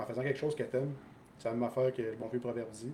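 Very fast and monotone with flat intonation, a man with a Quebec accent speaks at medium pitch in a dark, mellow, somewhat breathy tone. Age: 30s. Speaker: soldier. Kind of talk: casual chat.

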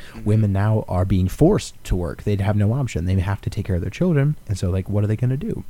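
Talking at a very fast pace, a man with a fairly low, dark, mellow, somewhat breathy voice uses lively intonation. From Alaska. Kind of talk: casual chat.

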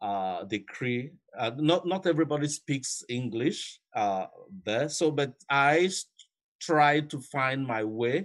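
In a very clean recording with a silent background, the speech moves at a very slow pace with lively intonation. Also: man. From Nigeria. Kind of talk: recorded interview.

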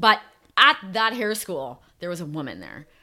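A woman speaks at a moderate pace with a fairly low pitch, very wide pitch swings and vocal fry. Her tone is bright and sharp, on a very clean recording with a silent background. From Calgary, Alberta, Canada. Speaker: person in addiction recovery. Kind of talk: personal testimony interview.

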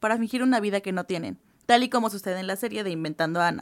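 A woman races along at a very fast pace with ordinary pitch variation, on a very clean recording with a silent background. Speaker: university student. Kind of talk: student podcast presentation.

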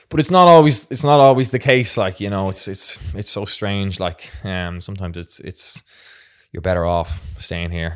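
A man with a South Dublin accent speaks with big swings in loudness on a very clean recording with a silent background. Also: fairly low pitch for a man, moderate pace. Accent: South Dublin Irish. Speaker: professional footballer. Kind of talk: casual interview. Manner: halting, many fillers.

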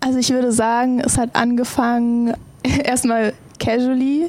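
A woman speaks in a high voice. Her intonation stays flat and monotone. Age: 20s. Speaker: esports pro player. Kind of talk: casual chat.

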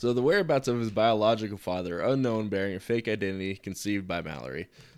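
A man talks very fast with lively intonation. His pitch is fairly low, and the recording is very clean with a silent background. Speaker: co-host. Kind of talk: casual chat, reading notes aloud.

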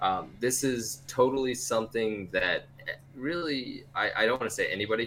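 A medium-pitched man speaks at a moderate pace with a bright, sharp tone. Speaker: market analyst. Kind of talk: casual group discussion.

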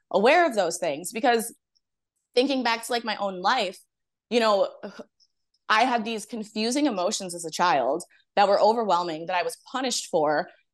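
A woman talks at a moderate pace with lively intonation in an ordinary speaking voice. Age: 30s. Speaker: astrologer. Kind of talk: casual interview chat.

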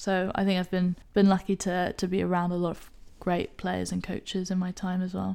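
A woman with a British accent speaks at a moderate pace and medium pitch in a dark, mellow tone, her delivery monotone and flat, in a very clean recording with a silent background. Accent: English (UK). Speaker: rugby player and recruiter. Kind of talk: casual interview chat.

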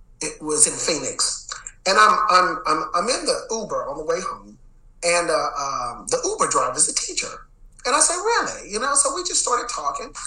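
A man with an American accent speaks at a moderate pace, with audible room echo and noticeable background noise. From Texas, Dallas. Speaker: education executive and former principal. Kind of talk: interview. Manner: casual, filler-heavy.

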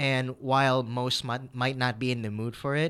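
A man with an American accent and a plain, everyday voice, medium pitch, moderate pace, on a very clean recording with a silent background. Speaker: dating podcast co-host. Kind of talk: casual chat.

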